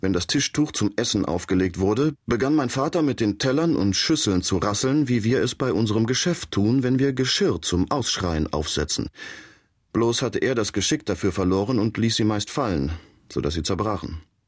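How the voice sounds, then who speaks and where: A man's fairly low voice at a moderate pace, with lively intonation, very even loudness and a quiet background. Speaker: audiobook narrator. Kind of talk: audiobook reading, first-person dramatic narration. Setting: studio. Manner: animated, storytelling with character voices.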